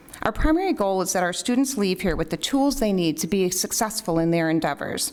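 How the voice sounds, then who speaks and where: A woman with an American accent and lively intonation, over noticeable background noise. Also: medium pitch for a woman, fairly quick pace, very even loudness. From US Midwest, Elmhurst, Illinois. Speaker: school board candidate. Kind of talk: candidate forum statement.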